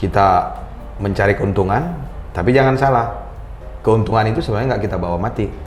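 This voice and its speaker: A man with a Medan accent, fairly low in pitch, at a fairly quick pace with lively intonation, over background music and audible room echo. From North Sumatra, Medan (Batak). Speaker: company founder, sustainability expert. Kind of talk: casual interview.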